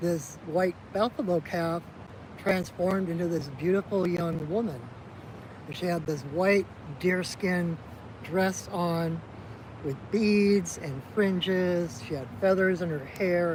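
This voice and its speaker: Speaking very slowly with a Minnesotan accent, a man uses a high pitch and ordinary pitch variation. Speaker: shaman. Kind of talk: storytelling in a ceremony. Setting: outdoors by a river. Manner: casual.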